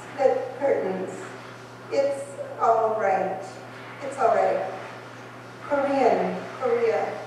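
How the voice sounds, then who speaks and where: Over noticeable background noise, a woman with a fairly high pitch speaks at a very slow pace with ordinary pitch variation. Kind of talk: poetry reading. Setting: live event in a wine bar.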